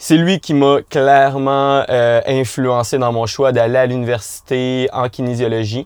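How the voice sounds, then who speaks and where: With a Quebec accent, a man speaks very slowly at a medium pitch and with fairly even intonation. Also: hardly any pauses. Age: 20s. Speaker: mountain bike coach. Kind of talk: podcast interview.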